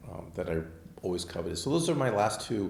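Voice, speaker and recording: Somewhat breathy, a man talks at a fairly quick pace amid audible room echo. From Southern California (Manhattan Beach). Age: 60s. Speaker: architect and car collector. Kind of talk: casual interview chat. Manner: hesitant, many fillers.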